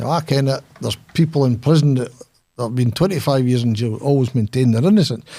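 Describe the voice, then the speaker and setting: In a strong Scottish accent, a man speaks at a fairly quick pace with a dark, mellow tone and ordinary pitch variation. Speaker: former lawyer, author. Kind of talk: interview. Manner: animated, halting.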